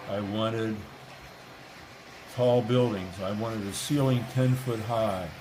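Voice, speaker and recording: A man's medium-pitched, fairly slow voice with fairly even intonation and long, frequent pauses, amid audible room echo and noticeable background noise. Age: 80s+. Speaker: model railroad hobbyist. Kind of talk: guided tour.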